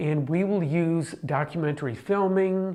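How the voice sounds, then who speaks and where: A man in an ordinary speaking voice takes his time, going rather slowly while his pitch shifts in a normal way. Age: 60s. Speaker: documentary presenter. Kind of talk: personal video diary.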